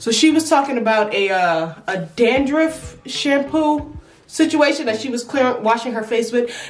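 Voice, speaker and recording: A woman's high, animated voice at a moderate pace with lively intonation, with music in the background. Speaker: beauty vlogger. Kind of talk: casual vlog talk.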